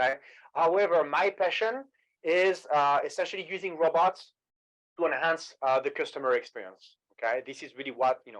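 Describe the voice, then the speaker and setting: A man with a high pitch talks at a moderate pace with lively intonation and big swings in loudness. The background is quiet. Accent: strong French. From France, Paris. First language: French. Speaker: sales executive. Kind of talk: webinar presentation.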